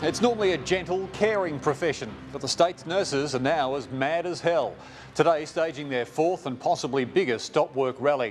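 Over music in the background, a man speaks at a moderate pace with ordinary pitch variation. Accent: Australian. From Australia. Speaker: TV news presenter. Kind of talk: news reading. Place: studio.

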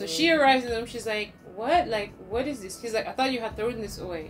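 A woman at a very fast pace over clear background music. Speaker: storytime co-host. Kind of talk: casual vlog chat. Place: home room. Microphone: camera far.

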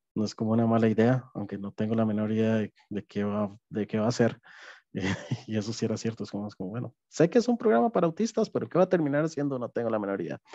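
Very fast and dark, mellow in tone, a man talks with ordinary pitch variation. The recording is dry with no echo and has a quiet background. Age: 30s. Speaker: app development project manager, neurodivergent employee; webinar panelist. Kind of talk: personal testimony. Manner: halting, many fillers. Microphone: headset.

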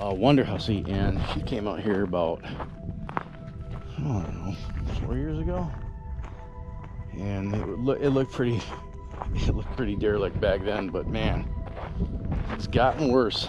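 Male voice at a fairly slow pace with long, frequent pauses, dry with no echo, clear music in the background. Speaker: explorer vlogger. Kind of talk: casual vlog chat. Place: open country. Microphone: phone near.

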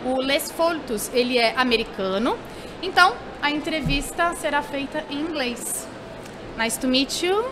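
Amid noticeable background noise, a high-pitched woman with a Portuguese accent talks at a moderate pace with lively intonation. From Brazil. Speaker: event show host. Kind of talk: live interview. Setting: studio at a live trade fair. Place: hall. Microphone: studio mic.

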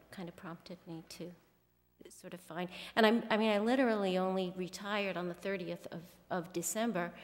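Fairly even intonation from a woman. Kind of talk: interview answer. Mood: calm, friendly. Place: hall. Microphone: podium.

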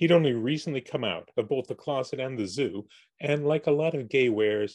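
A text read aloud in a natural voice

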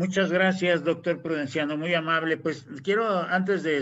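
A man with an ordinary speaking voice talks at a fairly slow pace and fairly high pitch. Light background noise is present. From Mexico. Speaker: panel host, university professor. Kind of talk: live online panel discussion. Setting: video call livestream. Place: home room. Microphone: video call.

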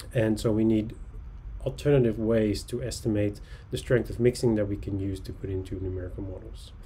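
A man with a Dutch accent talks fairly quickly at a fairly low pitch, his tone dark, mellow and somewhat breathy. His intonation stays fairly even over light background noise. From Netherlands (Texel); Netherlands. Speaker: oceanographer. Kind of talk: lecture. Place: home room. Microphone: webcam.

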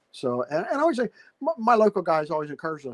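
With an American accent, a man talks at a very fast pace with lively intonation over a quiet background. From Pittsburgh, Pennsylvania. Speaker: tabletop wargamer. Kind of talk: casual interview. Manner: halting, many repeated words. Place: home room. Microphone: video call.

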